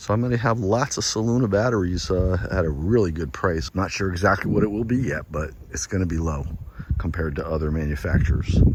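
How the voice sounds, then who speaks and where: A man with a very deep, low pitch speaks at a moderate pace with lively intonation, over noticeable background noise and audible room echo. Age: 60s. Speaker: solar installer and seller. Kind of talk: casual video walkthrough and sales pitch. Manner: casual, conversational.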